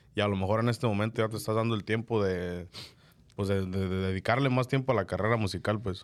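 On a very clean recording with a silent background, a man with a fairly low pitch talks at a very fast pace with fairly even intonation. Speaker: podcast host. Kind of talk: casual chat. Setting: studio.

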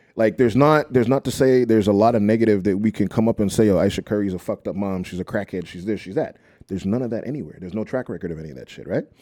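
A man's fairly low, dark, mellow voice at a very fast pace, with ordinary pitch variation, big swings in loudness, and a very clean recording over a silent background. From Montreal, Quebec (South Shore); Nigerian heritage. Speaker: podcast guest, DJ/event entertainer. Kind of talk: casual chat.

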